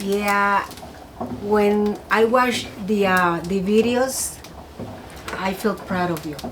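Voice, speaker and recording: Very slowly, a woman speaks at medium pitch with fairly even intonation and long, frequent pauses. There is audible room echo and noticeable background noise. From Mexico, Ciudad Juárez. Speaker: host's mother. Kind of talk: casual chat. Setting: cabin by fireplace. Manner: halting.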